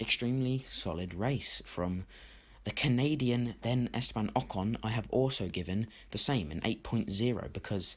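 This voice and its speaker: Recorded very cleanly against a silent background, a man with a British accent speaks at a medium pitch and moderate pace with ordinary pitch variation. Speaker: F1 YouTuber. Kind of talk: opinion commentary. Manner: energetic.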